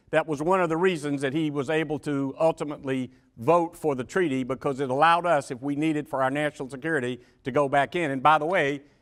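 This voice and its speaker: Talking at a very fast pace in a Georgia accent, a man has a fairly high pitch, captured in a very clean recording with a silent background. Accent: US Southern (Georgia). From Georgia, Macon. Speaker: former senate staffer, panelist. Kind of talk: panel discussion.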